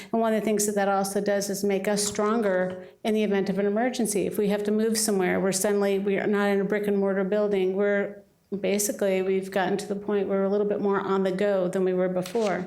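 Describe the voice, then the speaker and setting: In a room with audible echo, a woman speaks at a very fast pace with hardly any pauses, her medium pitch monotone and flat and her loudness very even. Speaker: city staff member presenting to council. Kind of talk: presentation at council meeting.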